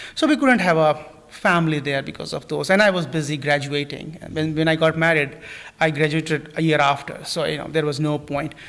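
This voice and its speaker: Speaking fairly quickly with an Indian accent, a man with a fairly high pitch keeps his intonation fairly even amid noticeable background noise. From India, New Delhi. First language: not English. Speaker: plant scientist. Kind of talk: interview. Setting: live stream studio. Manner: halting, many fillers.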